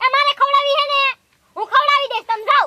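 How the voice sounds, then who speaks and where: In a squeaky, put-on character voice, a woman speaks very fast at an extremely high pitch with fairly even intonation. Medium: comedy sketch. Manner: loud, scolding.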